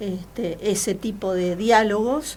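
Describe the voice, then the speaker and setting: A woman talks at a very slow pace. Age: 60s. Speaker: journalist and university teacher. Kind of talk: interview. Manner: hesitant, many fillers.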